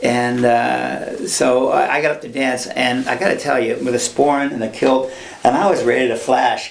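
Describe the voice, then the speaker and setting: Through audible room echo and noticeable background noise, a man talks at a moderate pace. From Ireland and Scotland. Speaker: film sound mixer. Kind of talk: interview, casual chat. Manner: halting, many false starts.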